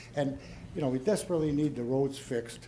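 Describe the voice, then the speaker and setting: Audible room echo surrounds a somewhat breathy man talking at a fairly quick pace. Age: 70s. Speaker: resident at town meeting. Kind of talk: public Q&A. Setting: town hall meeting.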